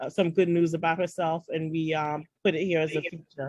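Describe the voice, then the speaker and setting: A woman with a New York accent, fairly low in pitch, at a moderate pace. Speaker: founder of a women's networking group. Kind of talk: online orientation walkthrough. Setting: video call. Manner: hesitant, many fillers.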